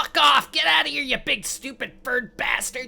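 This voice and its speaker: The pitch sits fairly high in a put-on character voice. The delivery moves at a moderate pace. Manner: panicked.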